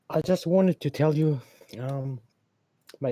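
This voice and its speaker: A man with a German accent speaks at a moderate pace, fairly high in pitch with ordinary pitch variation. His somewhat breathy voice has a dark, mellow tone, and the sound is dry and close with no echo. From Germany. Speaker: caller. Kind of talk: casual chat. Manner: halting.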